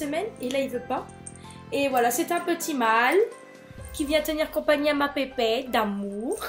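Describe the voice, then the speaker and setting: With music playing in the background, a woman talks at a moderate pace and high pitch, using lively intonation and long, frequent pauses. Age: 20s. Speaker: nursing student. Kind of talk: casual talk to camera.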